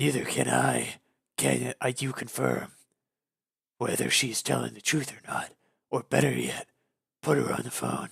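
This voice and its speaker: A man uses a raspy, put-on character voice, leaving long, frequent pauses. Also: moderate pace. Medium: read story.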